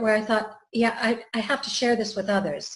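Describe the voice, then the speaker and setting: A woman with a fairly high, somewhat breathy voice speaks in a room with audible echo. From Canada. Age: 60s. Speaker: wellbeing trainer. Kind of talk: interview. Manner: hesitant, many fillers.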